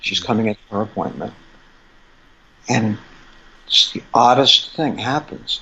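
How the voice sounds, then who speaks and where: The man talks at a fairly slow pace while noticeable background noise is present. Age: 60s. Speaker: acupuncturist specializing in fertility. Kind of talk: interview storytelling. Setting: podcast interview. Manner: animated.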